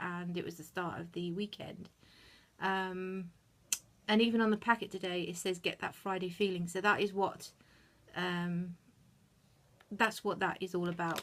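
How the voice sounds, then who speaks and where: Speaking with a British accent, a woman holds a medium pitch in monotone, flat intonation. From UK. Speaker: YouTube reviewer. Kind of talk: product review. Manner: fast; hesitant with fillers.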